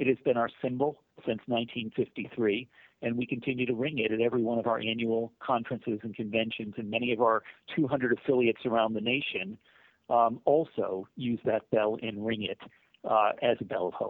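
A man's plain, everyday voice at a medium pitch, with an American accent, fairly even intonation and a moderate pace. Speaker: mental health nonprofit CEO. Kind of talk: interview.

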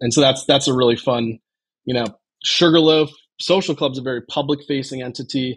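A man with an American accent speaks in an unremarkable speaking voice at medium pitch, fairly quickly and with fairly even intonation, on a very clean recording with a silent background. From Chicago, US Midwest. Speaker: golf club co-founder. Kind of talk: casual chat.

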